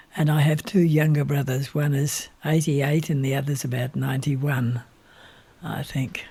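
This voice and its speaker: A man with an Australian accent, fairly high-pitched, monotone and flat, at a moderate pace. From Australia, rural Victoria. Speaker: retired minister and civil engineer. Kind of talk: interview.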